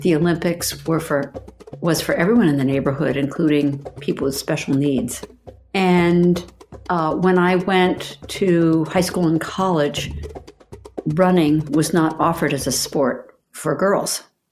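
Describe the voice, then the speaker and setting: At a fairly slow pace, a woman speaks in an ordinary speaking voice with a fairly low pitch and ordinary pitch variation. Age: 60s. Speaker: masters runner and coach. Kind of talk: personal storytelling.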